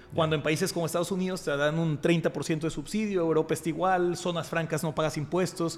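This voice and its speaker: A man talks fairly quickly with a high pitch and hardly any pauses. His intonation is monotone and flat. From Mexico, Monterrey. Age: 30s. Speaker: entrepreneur and investor. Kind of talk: casual chat.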